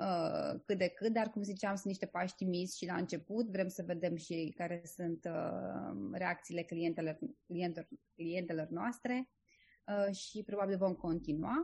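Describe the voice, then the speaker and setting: Somewhat breathy and medium in pitch, a woman's voice moves at a fairly slow pace with ordinary pitch variation. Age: 30s. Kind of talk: interview. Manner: hesitant, many filler sounds.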